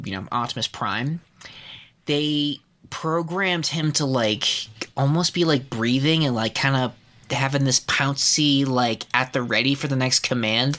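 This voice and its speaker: Fairly high in pitch with a bright, sharp tone, a man speaks at a fairly slow pace with ordinary pitch variation. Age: 30s. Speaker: podcast host. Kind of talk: casual chat. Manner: animated.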